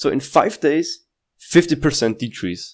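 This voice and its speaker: Lively intonation fills this man's speech, which moves at a fairly slow pace. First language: not English. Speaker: crypto YouTuber. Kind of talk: casual market analysis talk. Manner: halting, with restarts and fillers.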